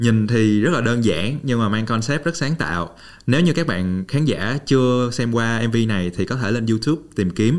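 A man with a normal speaking voice at a moderate pace, very even loudness and hardly any pauses. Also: medium pitch for a man, lively intonation. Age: 20s. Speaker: podcast host. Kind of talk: interview; scripted intro. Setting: studio.

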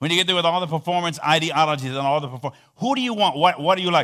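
Animated in tone, a man speaks with lively intonation. His pitch is high for a man. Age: 60s. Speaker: visiting preacher. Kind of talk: sermon. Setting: church.

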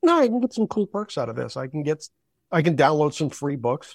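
A man talks at a moderate pace, his pitch fairly high for a man. The recording is very clean with a silent background and a dry, close sound with no echo. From western Massachusetts. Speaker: baseball research volunteer. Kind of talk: interview.

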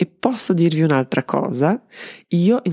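The sound is dry and close with no echo as a woman speaks with a Serbian accent. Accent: foreign (Serbian) accent in Italian. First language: Serbian (speaking Italian). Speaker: marketing consultant and podcast host. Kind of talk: solo podcast monologue.

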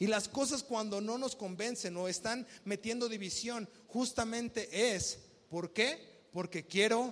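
At a fairly slow pace, a man speaks in an animated tone at a high pitch. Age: 20s. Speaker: pastor. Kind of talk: sermon.

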